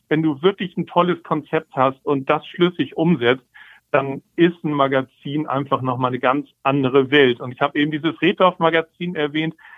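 A man with a fairly high pitch and an unremarkable speaking voice, moderate in pace and fairly even in intonation. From Hamburg, northern Germany. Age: 50s. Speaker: magazine publisher and writer. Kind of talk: interview. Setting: phone call. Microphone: telephone audio quality.

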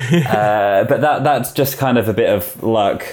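This man speaks with a British accent at a medium pitch, using ordinary pitch variation. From UK, rural village. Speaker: security company manager. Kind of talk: interview.

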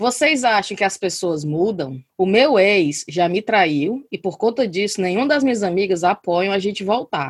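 A woman talks fairly slowly at a medium pitch with lively intonation, in an unremarkable speaking voice. The sound is dry and close, with no echo. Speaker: podcast host. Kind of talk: casual chat. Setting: video call.

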